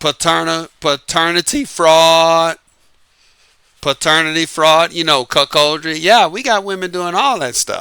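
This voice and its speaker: Speaking fairly slowly, a man's high voice carries a bright, sharp, animated tone, dry and close with no echo on a very clean recording with a silent background. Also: ordinary pitch variation. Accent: American. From US South, New Orleans, Louisiana. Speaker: YouTube dating commentator. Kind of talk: casual monologue.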